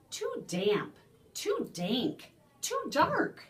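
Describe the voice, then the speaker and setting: A put-on character voice, squeaky and extremely high in pitch. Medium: read story.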